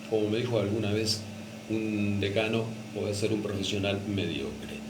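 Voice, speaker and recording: With a Rioplatense accent, a man speaks over noticeable background noise. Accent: Argentine Rioplatense Spanish. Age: 60s. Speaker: retired radio announcer and teacher. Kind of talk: radio interview answer.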